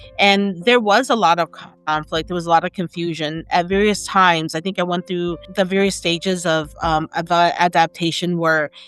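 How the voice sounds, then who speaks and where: A woman with a fairly low-pitched voice talks over music in the background. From Minnesota, Twin Cities (Hmong-American). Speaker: writer and journalist. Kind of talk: interview testimony. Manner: halting, with repeated words.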